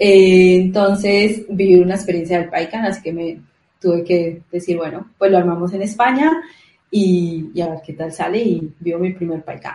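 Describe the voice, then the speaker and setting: A woman with a Colombian accent speaks at a moderate pace and a medium pitch, her tone dark and mellow. Her voice is somewhat breathy, with fairly even intonation. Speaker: event organizer, junior developer. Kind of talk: casual interview chat.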